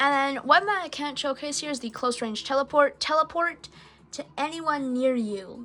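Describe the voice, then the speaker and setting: A woman's raised, projected voice, high in pitch, at a moderate pace, with ordinary pitch variation, big swings in loudness and music in the background. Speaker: gaming YouTuber. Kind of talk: gameplay commentary. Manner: hesitant, many fillers.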